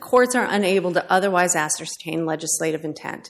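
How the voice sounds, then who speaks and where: A woman speaks at a medium pitch with ordinary pitch variation. She has a plain, everyday voice. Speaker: government appellate attorney. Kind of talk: appellate oral argument. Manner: formal.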